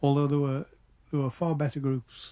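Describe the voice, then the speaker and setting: This man's tone is dark and mellow. His voice is somewhat breathy. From Liverpool, England. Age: old. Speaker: musician. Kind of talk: interview answer.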